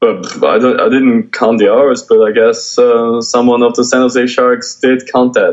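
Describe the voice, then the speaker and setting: A man speaks with a German accent. He leaves hardly any pauses. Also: fairly slow pace, very even loudness. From Austria. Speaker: graffiti artist and painter. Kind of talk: interview.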